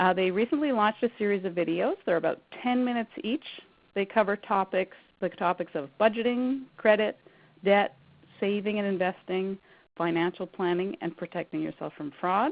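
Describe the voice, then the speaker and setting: With a Canadian accent, a woman talks at a moderate pace in a plain, everyday voice, medium in pitch and with ordinary pitch variation. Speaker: credit counsellor presenting a workshop. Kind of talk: webinar presentation.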